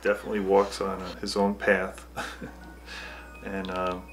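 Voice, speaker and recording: A man with a very deep, low voice speaks at a moderate pace with ordinary pitch variation while music plays in the background. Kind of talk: documentary interview answer.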